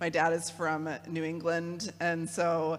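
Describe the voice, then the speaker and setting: A woman with a Midwestern accent talks at a fairly slow pace. Her pitch is fairly low, and music plays in the background. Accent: Midwest. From US Midwest (Kalamazoo, Michigan). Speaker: theologian and program director. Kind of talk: talk to a parish audience. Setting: church hall with audience, no podium. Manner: casual, with many fillers.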